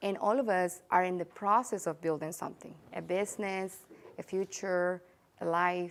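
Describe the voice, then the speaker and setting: The woman keeps a medium pitch and fairly even intonation. Her pace is moderate. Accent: Spanish. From El Salvador. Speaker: real estate agent. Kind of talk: interview. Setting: studio. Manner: heartfelt, some hesitation.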